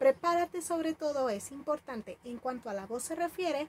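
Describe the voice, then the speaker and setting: A woman uses lively intonation in a dry, close sound with no echo, against noticeable background noise. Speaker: storytelling teacher. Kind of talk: tutorial.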